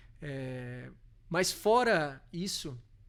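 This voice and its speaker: A man with a Minas Gerais accent is heard on a very clean recording with a silent background. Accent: mineiro. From Brazil, Minas Gerais (Belo Horizonte). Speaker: corporate legal and tax director. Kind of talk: podcast interview. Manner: halting, many fillers.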